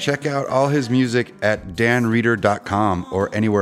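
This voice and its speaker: A man talks at a moderate pace with ordinary pitch variation. Noticeable background noise sits behind him. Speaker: podcast host. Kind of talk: interview, casual chat.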